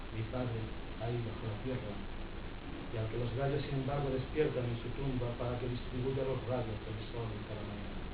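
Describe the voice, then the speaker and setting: In a room with audible echo and noticeable background noise, a man talks at a moderate pace in a medium pitch with monotone, flat intonation. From Andalusia, Spain. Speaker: poet. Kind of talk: poetry reading with commentary. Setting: book presentation with audience. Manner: halting.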